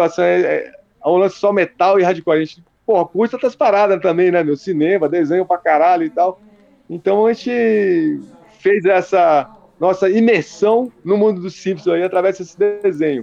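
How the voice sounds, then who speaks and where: A man's high voice at a moderate pace, with ordinary pitch variation and a dry, close sound with no echo. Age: 50s. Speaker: metal band founder. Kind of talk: casual interview.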